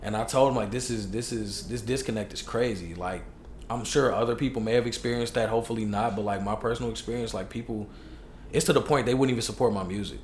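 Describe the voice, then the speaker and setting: A man talks at a very fast pace in a somewhat breathy, medium-pitched voice. His intonation is fairly even, and audible room echo surrounds it. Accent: American. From Chicago, US. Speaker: hip hop artist. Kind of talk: casual chat. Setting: podcast interview.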